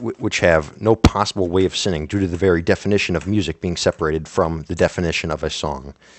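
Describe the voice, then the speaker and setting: Very deep, low-pitched man talking at a very fast pace with ordinary pitch variation. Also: hardly any pauses. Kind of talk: casual talk to camera. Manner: stuttering, hesitant.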